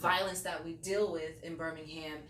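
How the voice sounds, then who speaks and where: Noticeable background noise and audible room echo surround a woman with an American accent who speaks at a moderate pace in a fairly low, monotone, flat voice. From New York. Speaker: radio host. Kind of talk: interview. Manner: casual, many fillers.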